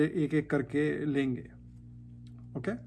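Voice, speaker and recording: A man with an ordinary speaking voice talks at a fairly high pitch and with fairly even intonation, captured in a very clean recording against a silent background. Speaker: religious YouTuber answering viewer questions. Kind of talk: casual Q&A explainer.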